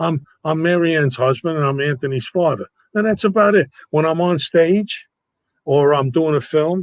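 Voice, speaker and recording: A man speaks at a moderate pace with ordinary pitch variation, in a dry, close sound with no echo. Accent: New York. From New York. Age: 80s+. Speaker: actor and entertainer. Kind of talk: casual interview chat. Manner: animated.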